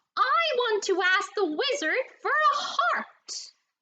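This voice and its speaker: A woman uses a put-on character voice, squeaky and extremely high-pitched. She speaks at a very slow pace with very wide pitch swings. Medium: read story. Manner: grunting.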